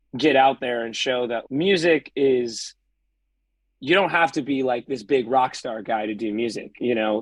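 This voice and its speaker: A man's medium-pitched voice with an American accent, ordinary pitch variation, and a dry, close sound with no echo against a quiet background. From US West Coast, San Pedro, California. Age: 20s. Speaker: musician. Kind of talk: casual interview chat.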